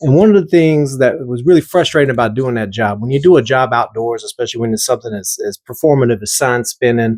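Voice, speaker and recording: Speaking with a slight Southern US accent, a man uses lively intonation and hardly any pauses. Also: medium pitch for a man, dry, close sound with no echo. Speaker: artist and video creator. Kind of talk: casual talk about own artwork. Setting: at home, recorded at night. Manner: halting, repeats words; loud.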